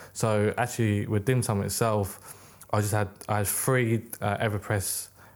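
This man's voice sits fairly low in pitch. His intonation is monotone and flat. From UK, British-born Chinese. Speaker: record label founder and accountant. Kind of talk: casual chat.

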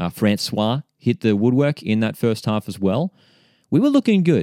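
A man with an Australian accent speaks at a fairly quick pace in a medium pitch with a dark, mellow tone and lively intonation, on a very clean recording with a silent background and a dry, close sound with no echo. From Australia, Central Coast of New South Wales. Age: 20s. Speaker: football podcast host. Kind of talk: casual chat.

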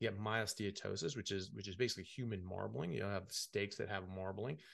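In a plain, everyday voice, a man with an American accent speaks at a fairly low pitch and moderate pace, with fairly even intonation and a quiet background. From United States. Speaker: medical doctor. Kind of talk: interview.

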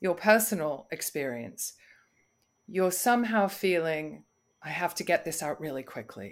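Recorded very cleanly over a silent background, a woman with a British accent and medium pitch uses lively intonation at a fairly slow pace. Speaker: voice coach. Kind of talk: interview.

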